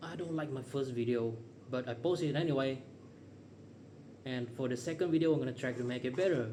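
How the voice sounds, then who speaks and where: Talking at a fairly quick pace, a man uses a medium pitch with ordinary pitch variation and long, frequent pauses. Audible room echo and noticeable background noise fill the recording. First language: not English. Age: 30s. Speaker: vlogger. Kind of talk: casual monologue. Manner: unscripted, rambling pauses.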